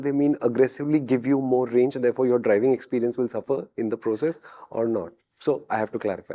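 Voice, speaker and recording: This man talks at a very fast pace with a non-native accent. His tone is dark and mellow. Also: quiet background. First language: not English. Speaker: car show host. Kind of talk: casual chat.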